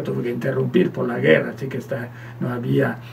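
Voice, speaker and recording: Speech with very wide pitch swings, set against noticeable background noise. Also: man. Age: 70s. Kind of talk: radio interview, personal testimony. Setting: radio studio. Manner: halting, many repetitions and false starts.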